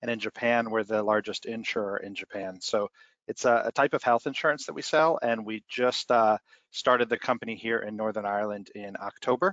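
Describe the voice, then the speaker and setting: A man's unremarkable speaking voice, fairly quick in pace and fairly even in intonation. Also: medium pitch for a man. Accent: American. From United States. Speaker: business executive. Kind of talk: webinar panel discussion.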